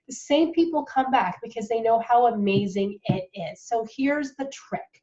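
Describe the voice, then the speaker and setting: A woman speaks in a dark, mellow tone at a fairly high pitch. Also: moderate pace. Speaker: direct sales consultant. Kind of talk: tutorial. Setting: home office.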